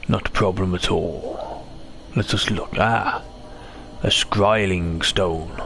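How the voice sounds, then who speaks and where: Over clear background noise, a man uses a put-on character voice at a fairly low pitch, speaking at a very slow pace with long, frequent pauses. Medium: game stream. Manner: theatrical, lots of "Ah".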